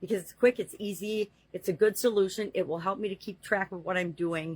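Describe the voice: A woman speaks at a fairly quick pace with medium pitch and fairly even intonation. Her tone is slightly mellow, with a slightly husky edge.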